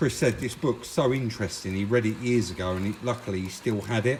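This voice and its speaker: Against noticeable background noise, a man talks at a moderate pace with a medium pitch and ordinary pitch variation. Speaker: car restoration youtuber. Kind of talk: casual vlog narration. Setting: in a car. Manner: loud, speaking up over noise.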